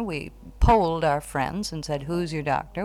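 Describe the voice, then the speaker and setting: With an American accent and a very deep, low pitch, a woman talks at a moderate pace and ordinary pitch variation. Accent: American, general. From United States. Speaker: American expatriate living in Wales. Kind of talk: interview.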